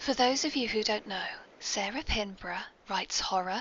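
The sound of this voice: A woman speaks at a moderate pace with ordinary pitch variation. Her tone is bright and sharp.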